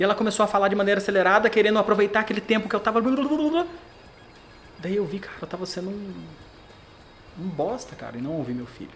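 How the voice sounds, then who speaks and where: The delivery is animated and very fast, with ordinary pitch variation. Music plays in the background. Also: man. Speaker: brand protection specialist. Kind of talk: podcast interview.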